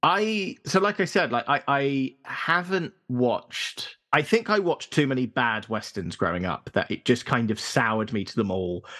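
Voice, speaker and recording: A man's medium-pitched, bright, sharp voice in a southern English accent, at a moderate pace with hardly any pauses and very wide pitch swings. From London suburbs. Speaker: podcast guest. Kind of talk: casual chat.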